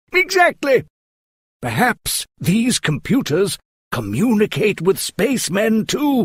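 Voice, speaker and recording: In a put-on character voice, a man talks fairly slowly at a high pitch, the sound dry and close with no echo. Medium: audio drama. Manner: earnest, explanatory.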